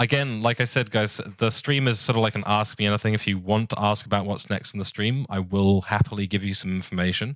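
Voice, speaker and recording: Very fast and fairly even in intonation, a man speaks at a fairly low pitch. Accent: New Zealand. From New Zealand. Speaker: streamer. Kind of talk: casual live stream chat. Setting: live stream. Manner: casual, filler-heavy.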